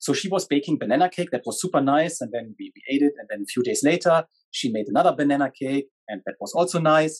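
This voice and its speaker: A man at a very fast pace with ordinary pitch variation, against a quiet background. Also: fairly high pitch for a man. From Germany. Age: 40s. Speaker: business executive; podcast guest. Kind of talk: talk to an online audience. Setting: video call. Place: studio.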